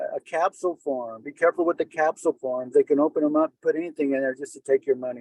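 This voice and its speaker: A man talks fairly quickly at a fairly high pitch, in a plain, everyday voice. The sound is dry and close with no echo. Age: 60s. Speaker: hospital navigator. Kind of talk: webinar talk. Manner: casual, conversational.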